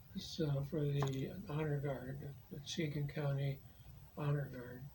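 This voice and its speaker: A soft-spoken man at a fairly slow pace, fairly high in pitch, with monotone, flat intonation. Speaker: war veteran. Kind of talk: interview answer.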